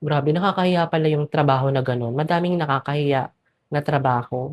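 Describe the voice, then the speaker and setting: A woman's very deep, low pitch with ordinary pitch variation, in a dry, close sound with no echo. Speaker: vlogger. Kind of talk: casual vlog talk to camera.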